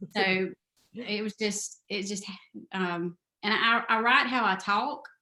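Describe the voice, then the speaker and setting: Speaking at a very slow pace with a Southern US accent, a woman has a bright, sharp tone. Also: medium pitch for a woman, ordinary pitch variation. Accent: Southern drawl. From US South, South Carolina. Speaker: novelist. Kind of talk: interview. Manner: halting.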